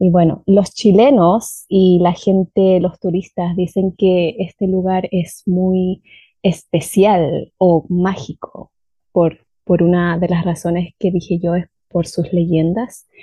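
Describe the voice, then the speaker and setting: Speaking at a very slow pace, a woman has a somewhat breathy voice at medium pitch with fairly even intonation. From southern Chile, Valdivia. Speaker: language teacher. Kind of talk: storytelling.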